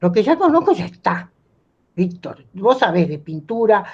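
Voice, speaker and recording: This woman's voice is somewhat breathy. She talks at a fairly slow pace. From Argentina. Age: 80s+. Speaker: playwright and writer. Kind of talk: talk with students. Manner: halting, many fillers.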